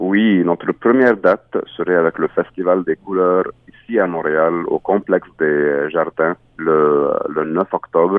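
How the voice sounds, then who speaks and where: A man with an Arabic accent talks at a very slow pace in a very deep, low pitch with ordinary pitch variation. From Egypt, Cairo. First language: Arabic (speaking French). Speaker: singer-songwriter. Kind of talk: interview. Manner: halting.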